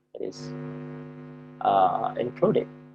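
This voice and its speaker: A man speaks with an Indonesian accent. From Java, Indonesia. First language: Javanese. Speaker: university lecturer. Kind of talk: lecture. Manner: halting, many fillers.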